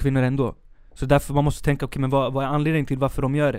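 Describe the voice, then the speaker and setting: This man's voice sits fairly high in pitch. He talks at a very fast pace. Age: 20s. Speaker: art teacher student and artist, new podcast co-host. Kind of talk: casual chat. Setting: studio.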